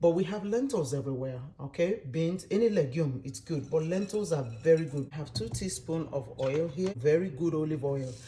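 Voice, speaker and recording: A soft-spoken woman with very deep, low pitch, lively intonation and an animated tone. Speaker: cooking youtuber. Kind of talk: cooking tutorial.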